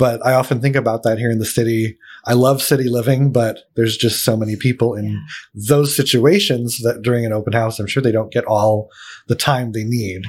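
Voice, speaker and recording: A man with an American accent and a normal speaking voice talks at a fairly quick pace, using a medium pitch and fairly even intonation. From Pennsylvania, Allentown. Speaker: podcast host for a housing nonprofit. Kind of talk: casual interview. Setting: studio.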